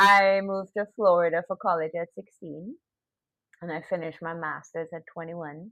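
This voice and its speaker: A woman with a slight Trinidadian accent speaks at a moderate pace and a fairly low pitch. Her intonation stays fairly even while her loudness swings widely. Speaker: podcast guest. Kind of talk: casual interview.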